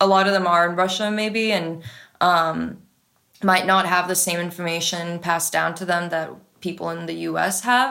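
A woman with a Californian accent speaks in a bright, sharp tone at a fairly low pitch. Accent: Californian American. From San Francisco, US. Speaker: radio DJ and music supervisor. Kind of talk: casual interview chat.

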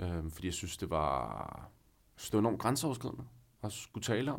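A man's fairly low voice with vocal fry, at a moderate pace, in a very clean recording with a silent background. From northern Zealand, Denmark. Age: 30s. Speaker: guest sharing personal story. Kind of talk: personal testimony. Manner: hesitant, many fillers.

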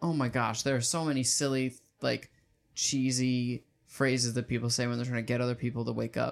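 In monotone, flat intonation, a man talks at a fairly quick pace. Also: medium pitch for a man, very even loudness. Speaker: podcast co-host. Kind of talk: casual banter, comedic podcast discussion, recaps plot. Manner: jokey, playful, conversational.

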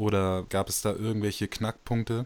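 On a very clean recording with a silent background, a man speaks at a fairly low pitch. He has an unremarkable speaking voice. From Switzerland. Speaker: podcast host. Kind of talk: interview.

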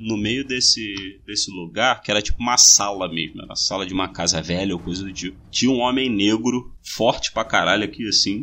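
A man with a Rio de Janeiro accent speaks at a moderate pace and fairly low pitch. He barely pauses and uses ordinary pitch variation. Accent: Rio de Janeiro Portuguese (carioca). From Brazil, Rio de Janeiro (Bangu). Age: 20s. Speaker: podcast host. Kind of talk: casual chat.

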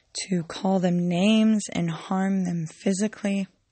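A woman speaks at a fairly slow pace in a medium pitch. Her voice is somewhat breathy, with fairly even intonation. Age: 20s. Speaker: podcaster. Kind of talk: personal monologue. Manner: monotone; hesitant, many ums.

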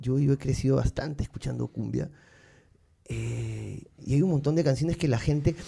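Somewhat breathy, dark and mellow voice of a man, fairly high in pitch, with fairly even intonation at a moderate pace. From Peru, Lima. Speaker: musician. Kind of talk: casual chat.

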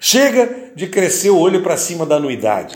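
A man's high-pitched, animated voice, with very wide pitch swings and a moderate pace. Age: 60s. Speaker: engineer running for council office. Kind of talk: campaign podcast monologue.

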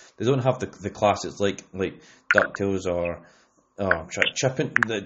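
With a Scottish accent, a man speaks at a fairly low pitch with ordinary pitch variation. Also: moderate pace. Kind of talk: casual chat.

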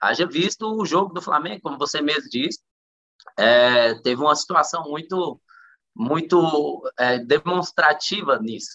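Fairly high for a man, his bright, sharp voice shows ordinary pitch variation and moves at a fairly slow pace. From Central-West Brazil, Luziânia, Goiás. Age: 30s. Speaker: professional footballer. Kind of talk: interview.

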